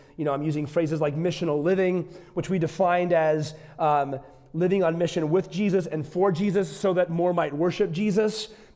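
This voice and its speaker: With an American accent and fairly even intonation, a man speaks at a high pitch and fairly quick pace amid audible room echo. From US Midwest, northeastern Wisconsin. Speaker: visiting pastor. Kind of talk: sermon.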